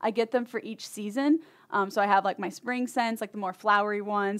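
A woman with an American accent and an unremarkable speaking voice talks at a fairly quick pace, using a medium pitch and fairly even intonation, on a very clean recording with a silent background. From Michigan. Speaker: new media team employee. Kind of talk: casual chat.

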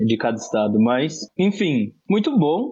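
A man's voice with very wide pitch swings. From Brazil, Osasco (São Paulo area). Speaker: podcast co-host. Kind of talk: casual political discussion.

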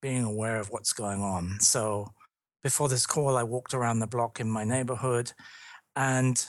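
The speaker has a British accent. The intonation stays fairly even. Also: man. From London, England. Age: 50s. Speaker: leadership consultant and author. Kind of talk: podcast interview. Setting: remote call.

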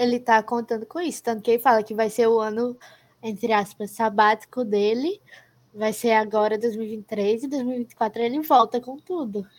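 A woman's fairly high-pitched voice, an unremarkable speaking voice, at a moderate pace with fairly even intonation, in a very clean recording against a silent background. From Brazil. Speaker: podcast co-host, university student. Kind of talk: casual chat.

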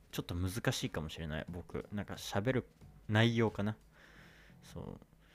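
A man speaks in a normal speaking voice, fairly low in pitch, with lively intonation. The recording is very clean, with a silent background. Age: 20s. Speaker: podcast host, university student. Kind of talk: casual solo monologue. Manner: casual, many filler words.

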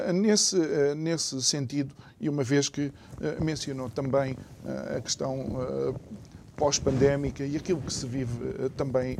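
With long, frequent pauses, a man at a medium pitch speaks at a fairly slow pace, his pitch varying in an ordinary way. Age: 40s. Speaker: radio and TV talk show host. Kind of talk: talk show interview. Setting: studio, simulcast TV and radio.

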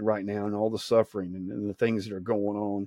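With a Southern US accent, a man talks at a fairly quick pace in a dark, mellow tone, the sound dry and close with no echo. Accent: Southern US (Georgia). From US state of Georgia. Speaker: evangelist podcast host. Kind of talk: informal sermon. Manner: halting, many fillers and repeats.

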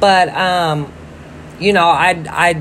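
A woman speaks at a fairly low pitch. Her intonation stays flat and monotone. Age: 30s. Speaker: podcaster. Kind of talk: casual monologue.

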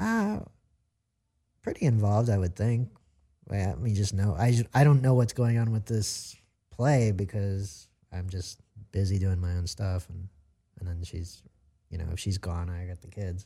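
On a very clean recording with a silent background, a man with an American accent speaks at a moderate pace in a fairly low, somewhat breathy voice with a dark, mellow tone, ordinary pitch variation, big swings in loudness and long, frequent pauses. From US Mid-Atlantic (Maryland/Virginia/DC). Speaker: character actor. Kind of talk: interview.

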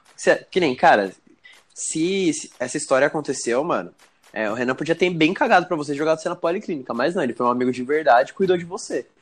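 A man talks at a very fast pace in a fairly high voice, his intonation lively. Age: 20s. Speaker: podcast co-host. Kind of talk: casual chat.

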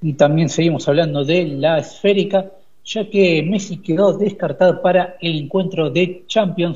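This man's voice sits high in pitch, and his intonation stays fairly even. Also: fairly slow pace. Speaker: sports reporter. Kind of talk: radio sports news reading.

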